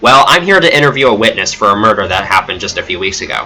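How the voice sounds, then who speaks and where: A dramatic-toned man of medium pitch at a fairly quick pace, against noticeable background noise. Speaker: streamer reading own story. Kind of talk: reading aloud. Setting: livestream. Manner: non-dramatic reading.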